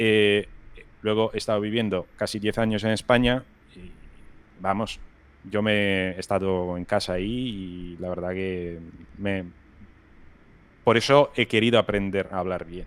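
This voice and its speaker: His voice fairly low and his pace fairly slow, a man pauses long and often, with big swings in loudness and fairly even intonation. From Rome, Italy. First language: Italian (speaking Spanish). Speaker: video game environment artist. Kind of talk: casual interview chat.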